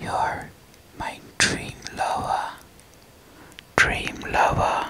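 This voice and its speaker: Very slowly, a woman speaks. Her words come out in a whisper. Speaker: ASMR creator. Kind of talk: ASMR whispering of affectionate words. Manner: whispered, soft, repeating words. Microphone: studio mic.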